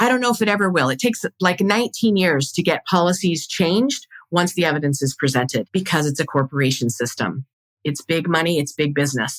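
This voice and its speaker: Pitched fairly low, a woman talks at a fairly quick pace with very wide pitch swings, the sound dry and close with no echo. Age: 50s. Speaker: podcast host, birth educator and doula. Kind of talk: casual monologue. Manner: fast; stumbles over words.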